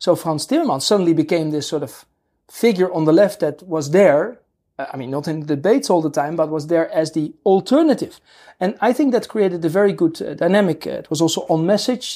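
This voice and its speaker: A woman's fairly low pitch and dark, mellow tone, with lively intonation at a fairly quick pace, in a very clean recording over a silent background. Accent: Dutch. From Netherlands. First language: Dutch. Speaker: political scientist professor. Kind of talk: interview. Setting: studio. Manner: halting.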